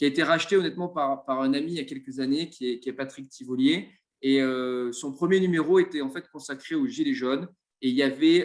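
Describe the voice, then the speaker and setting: Talking at a fairly quick pace, a man uses a plain, everyday voice with a fairly high pitch and ordinary pitch variation. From Marseille, southern France. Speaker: web show host. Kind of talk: live interview.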